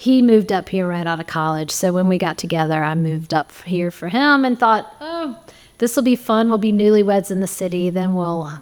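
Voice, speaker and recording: In a Southern US accent, a woman speaks at a fairly quick pace with lively intonation. Her pitch is medium. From US South, southeast Alabama. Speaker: jam organizer and amateur musician. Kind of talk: interview.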